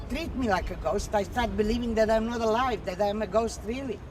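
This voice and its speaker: Audible room echo accompanies a woman speaking at a moderate pace with a fairly high pitch. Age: 60s. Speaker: street demonstrator. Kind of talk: documentary interview.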